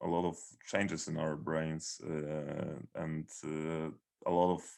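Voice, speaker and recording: A man with a Polish accent speaks in a very deep, low voice. His intonation is flat and monotone. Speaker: metal band founder. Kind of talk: interview. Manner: halting.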